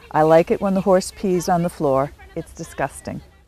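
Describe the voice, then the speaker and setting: A woman speaks at a moderate pace with ordinary pitch variation, her voice dry with no echo and faint music in the background. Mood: warm, amused. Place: shop. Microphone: lapel.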